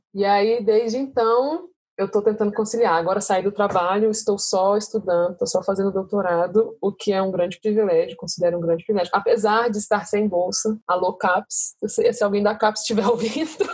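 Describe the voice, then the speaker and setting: Somewhat breathy and at medium pitch, a woman speaks at a fairly quick pace with very even loudness and hardly any pauses. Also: ordinary pitch variation. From Brasília, Brazil. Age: 30s. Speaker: doctoral student. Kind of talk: casual chat.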